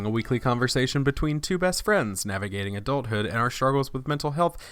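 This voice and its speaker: A man with an unremarkable speaking voice at medium pitch, fairly quick, with lively intonation. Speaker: podcast host.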